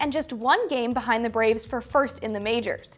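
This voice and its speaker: A woman talks very fast with music in the background. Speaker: sports broadcaster. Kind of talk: sports hosting and reporting.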